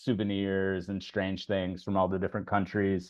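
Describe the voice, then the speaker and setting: A man speaks with a slight Southern US accent. His pace is moderate. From US South, Nashville. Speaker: English teacher and blogger. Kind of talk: casual chat.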